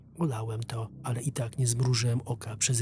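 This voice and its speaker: Over music in the background, the voice moves at a fairly slow pace with fairly even intonation. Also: man. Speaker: voice-over narrator. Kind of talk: first-person horror story narration for an animation. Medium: dub.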